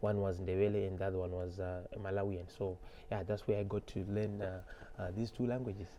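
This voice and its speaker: A man with a Zimbabwean accent talks at a fairly quick pace in a fairly low, dark, mellow tone. His intonation is monotone and flat. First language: Shona. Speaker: musician. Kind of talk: interview. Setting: studio.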